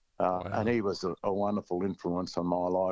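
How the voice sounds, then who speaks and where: This man's voice is very deep and low, delivered in a monotone, flat intonation. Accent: Australian. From Australia, rural central Victoria. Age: 70s. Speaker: country music singer-songwriter. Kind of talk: casual interview chat.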